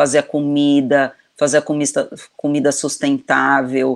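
A woman speaks in a very deep, low pitch with monotone, flat intonation. The recording is very clean, with a silent background. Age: 50s. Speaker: video director and children's author. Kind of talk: casual chat. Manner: halting, many repetitions.

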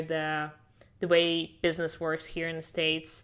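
In a Russian accent, a woman with a fairly low, bright, sharp voice talks at a moderate pace. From Siberia, Russia. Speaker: immigration and passport consultant, former sailor. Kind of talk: interview.

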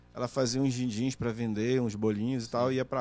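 Over music in the background, a man speaks at a very fast pace with monotone, flat intonation. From Brazil, Pará (Oriximiná), moved to Manaus at 15. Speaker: journalist and TV interviewer. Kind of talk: casual chat.

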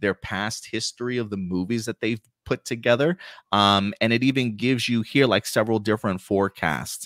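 This is a man with an ordinary speaking voice, pitched fairly low. The recording is very clean and dry, close-miked with no echo and a silent background. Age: 40s. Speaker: podcast host. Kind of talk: casual chat. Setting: live stream.

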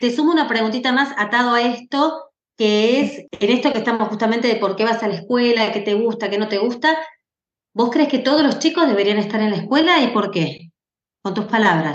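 With an audible room echo, a woman speaks at a fairly quick pace, her fairly high voice marked by lively intonation. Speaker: podcast host and moderator. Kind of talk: moderated panel conversation.

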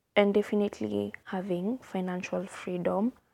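A woman with a Kenyan accent speaks fairly slowly at a medium pitch, her tone dark and mellow and her pitch varying in an ordinary way, in a very clean, dry, close recording with no echo and a silent background. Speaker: podcast host. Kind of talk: solo podcast monologue, casual. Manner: casual, chatty, warm.

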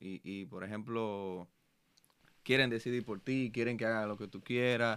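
Using a normal speaking voice, a man at medium pitch talks fairly slowly with fairly even intonation. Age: 20s. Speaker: podcast host. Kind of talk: casual chat.

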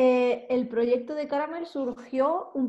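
Speaking at a very slow pace, a woman uses a high pitch, a dark, mellow tone and fairly even intonation. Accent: Andalusian. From Andalusia, Málaga. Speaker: fashion photographer. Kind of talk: interview.

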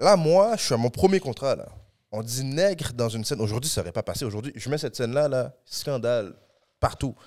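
An unremarkable speaking voice from a man, medium in pitch and at a fairly quick pace, in a very clean recording with a silent background. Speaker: actor and comedian. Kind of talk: casual podcast interview.

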